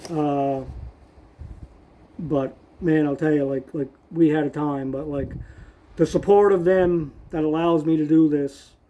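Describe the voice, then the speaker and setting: A man's fairly high voice with a dark, mellow tone, a fairly slow pace, fairly even intonation and long, frequent pauses. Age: 60s. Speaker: motorcycle traveler vlogger. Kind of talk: casual vlog recap. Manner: conversational with many fillers.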